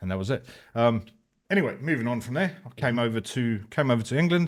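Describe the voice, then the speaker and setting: Very fast speech in a South African accent with ordinary pitch variation. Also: man, very clean recording, silent background. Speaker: motorcycle club president, ex-police officer. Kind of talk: casual interview.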